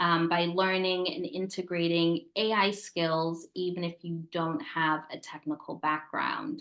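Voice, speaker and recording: A woman's unremarkable speaking voice with an American accent, fairly low in pitch, with fairly even intonation, a fairly slow pace and hardly any pauses. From United States. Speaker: tech company founder. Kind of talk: webinar presentation.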